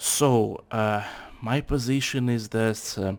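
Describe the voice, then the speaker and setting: Speaking with a Russian accent, this voice moves at a very slow pace and keeps a fairly even intonation. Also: man. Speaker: factory worker, channel owner. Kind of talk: casual political discussion. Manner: halting.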